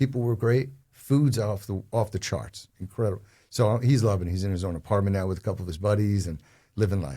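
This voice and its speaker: In a New Jersey accent, a man talks at a very fast pace with a fairly low pitch, a dark, mellow tone, a somewhat breathy quality, and ordinary pitch variation, on a very clean recording with a silent background. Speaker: real estate advisor. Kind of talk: casual interview chat. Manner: animated.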